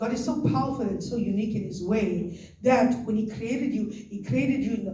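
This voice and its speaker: Amid noticeable background noise and audible room echo, a woman speaks in an animated tone at a fairly high pitch, her pitch varying in an ordinary way. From South Africa. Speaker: pastor. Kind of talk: sermon.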